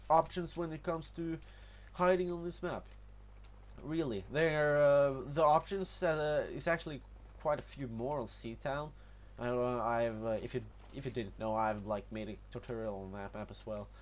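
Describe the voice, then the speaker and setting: Speaking at a moderate pace, a man with a Norwegian accent uses lively intonation at a medium pitch. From Norway. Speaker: gaming youtuber. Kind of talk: gameplay tutorial commentary. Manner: halting, many fillers and repetitions.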